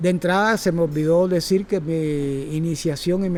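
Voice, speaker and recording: At a moderate pace, the speaker talks with a Cuban accent and fairly even intonation. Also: man. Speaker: circus teacher. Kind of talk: talk to audience. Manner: halting.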